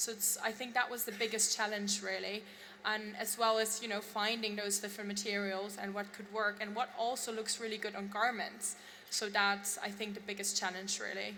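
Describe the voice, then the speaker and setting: A woman speaks with a German accent at a medium pitch and a moderate pace, her intonation flat and monotone. Room echo is audible, and there is noticeable background noise. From Germany. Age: young. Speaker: fashion designer. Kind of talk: on-stage interview.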